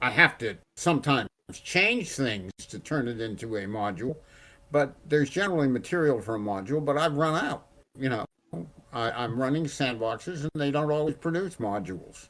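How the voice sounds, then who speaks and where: Bright and sharp in tone, a man talks at a fairly quick pace and fairly high pitch with lively intonation. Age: 80s+. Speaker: veteran game referee and module writer. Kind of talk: casual panel chat.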